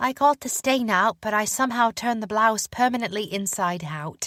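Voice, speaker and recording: Moderately paced put-on character voice, female-sounding and fairly high in pitch. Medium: read story. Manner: earnest, sweet.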